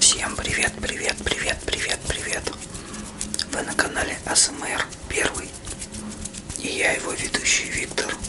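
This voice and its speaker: A man whispers fairly slowly, with long pauses coming often. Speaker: ASMR channel host. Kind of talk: casual vlog chat. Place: home room. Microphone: phone near.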